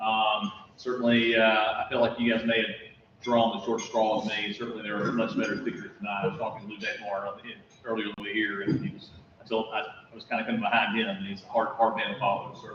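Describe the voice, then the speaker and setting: Someone with an American accent talks very fast with fairly even intonation and big swings in loudness, amid audible room echo and noticeable background noise. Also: man, medium pitch for a man. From South Carolina. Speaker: county manager. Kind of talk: talk to a club. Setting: meeting room with audience. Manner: halting. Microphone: no microphone.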